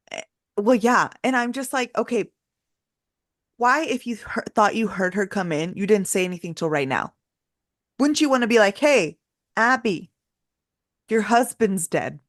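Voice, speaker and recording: A woman with a fairly high pitch speaks in an animated tone with lively intonation at a moderate pace. Long, frequent pauses appear, and the sound is dry and close with no echo. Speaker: podcast host. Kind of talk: casual chat. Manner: loud.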